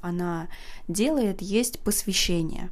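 Relaxed in tone, a woman speaks at a very slow pace. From Saint Petersburg, Russia. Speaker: podcast host. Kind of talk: unscripted casual monologue. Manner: spontaneous, relaxed, with filler words.

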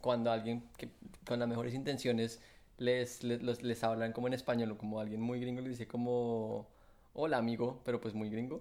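At a moderate pace, a man speaks in a dark, mellow tone at medium pitch with monotone, flat intonation. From Colombia. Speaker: podcast co-host. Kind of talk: casual chat.

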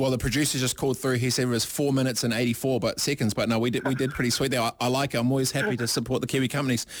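He speaks at a very fast pace with hardly any pauses. This man's loudness stays very even throughout. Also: medium pitch for a man. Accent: New Zealand. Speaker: radio host. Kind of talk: casual radio talk show. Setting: radio studio. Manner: animated.

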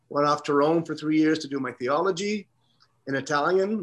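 A normal speaking voice from a man, fairly high in pitch, at a fairly quick pace with ordinary pitch variation. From Canada, Toronto. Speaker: priest. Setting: video call.

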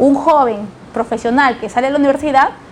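A woman's high voice, fairly quick with fairly even intonation, over noticeable background noise. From Lima, Peru. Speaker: politician. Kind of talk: interview.

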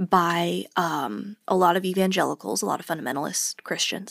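Heard in a very clean recording with a silent background and a dry, close sound with no echo, a woman talks in an unremarkable speaking voice at a medium pitch and a moderate pace. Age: 20s. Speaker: podcast co-host, former homeschooled student. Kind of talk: casual chat.

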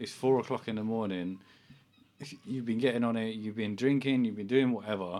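Speaking very fast in a British accent, a man keeps a fairly low pitch and fairly even intonation. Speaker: podcast host. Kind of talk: casual banter podcast. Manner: rambling, talkative, profane.

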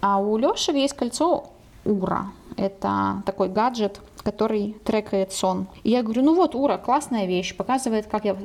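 A woman speaks in a plain, everyday voice at a moderate pace, her pitch medium with ordinary variation. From Ukraine, Dnipro. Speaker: podcast co-host, language editor. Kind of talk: casual chat.

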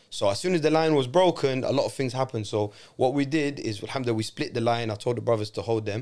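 A man with a London accent talks at a very fast pace with hardly any pauses, in a medium pitch with ordinary pitch variation. The recording is very clean, with a silent background. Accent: London English, multicultural London. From London, England, Moroccan family. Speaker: adventure trip organiser, former teacher. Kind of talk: casual chat. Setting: studio.

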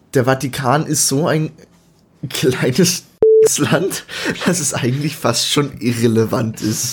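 At a fairly slow pace, the speaker talks with a somewhat breathy voice. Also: man. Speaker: podcast co-host. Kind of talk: casual chat.

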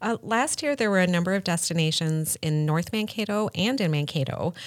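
A woman with a plain, everyday voice talks at a moderate pace. The recording is very clean, with a silent background. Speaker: podcast host. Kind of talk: casual interview.

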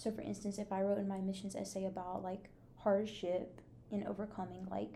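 A woman speaks at a medium pitch in a dark, mellow, somewhat breathy tone with monotone, flat intonation. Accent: American. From Texas. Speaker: podcast host, college student. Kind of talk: casual interview chat.

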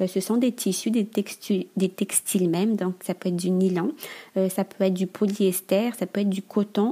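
A dark, mellow, somewhat breathy tone at a moderate pace, with fairly even intonation. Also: woman. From Madagascar. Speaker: entrepreneur. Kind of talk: interview. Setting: remote recording.

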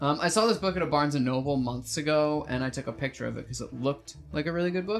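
A man's fairly high voice at a very fast pace, ordinary pitch variation, and noticeable background noise. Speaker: podcast host. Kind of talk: casual chat.

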